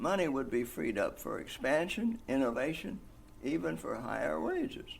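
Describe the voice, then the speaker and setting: A man at a moderate pace, with audible room echo. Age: 90s. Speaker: single-payer healthcare advocate. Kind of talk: interview.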